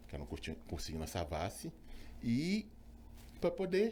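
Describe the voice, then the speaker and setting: A man at a moderate pace. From Brazil, Belo Horizonte (Minas Gerais). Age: 50s. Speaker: physician, obstetrician. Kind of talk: interview, personal story. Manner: hesitant, many fillers.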